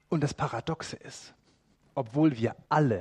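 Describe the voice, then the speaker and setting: The voice is somewhat breathy, heard in a dry, close sound with no echo. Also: man. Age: 40s. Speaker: preacher. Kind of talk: sermon.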